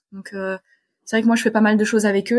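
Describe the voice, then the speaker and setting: A somewhat breathy woman speaks at a moderate pace on a very clean recording with a silent background. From Poland (French-Polish family). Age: 20s. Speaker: sailor and physics PhD student. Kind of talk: interview.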